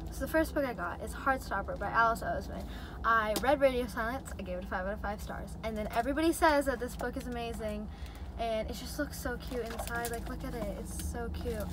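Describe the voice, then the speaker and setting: With noticeable background noise behind her, a woman talks at a fairly quick pace, her sound dry with no echo. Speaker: book vlogger. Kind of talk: casual vlog chat. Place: car. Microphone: phone near.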